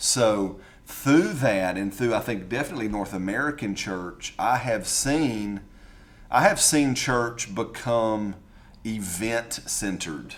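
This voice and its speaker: A man with a Southern US accent at a very slow pace. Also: medium pitch for a man, ordinary pitch variation. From US South. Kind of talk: casual conversation.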